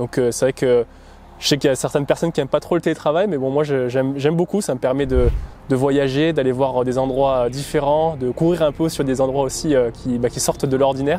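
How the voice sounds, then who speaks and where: Music plays in the background while the talking moves at a fairly quick pace. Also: man, fairly high pitch for a man, fairly even intonation. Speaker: amateur marathon runner, vlogger. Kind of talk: documentary interview. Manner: hesitant, many fillers.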